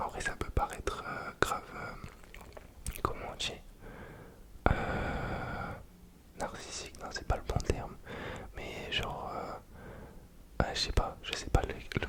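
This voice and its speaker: A man whispers in a relaxed tone at a very slow pace, with long, frequent pauses. Noticeable background noise can be heard. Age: 20s. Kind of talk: ASMR casual rambling talk. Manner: relaxed, hesitant, casual.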